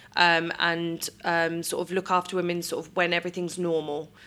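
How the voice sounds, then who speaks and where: A woman's fairly low voice with a British accent, bright and sharp in tone, monotone and flat, at a moderate pace, on a very clean recording with a silent background. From UK. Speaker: midwife. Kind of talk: interview. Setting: hospital birthing room.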